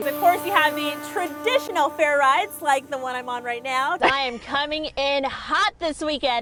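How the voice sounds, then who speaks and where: Over music in the background, a woman with a high-pitched voice speaks in a raised, projected voice at a moderate pace. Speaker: TV news reporter and anchor. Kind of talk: live TV news field report. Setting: outdoors on location.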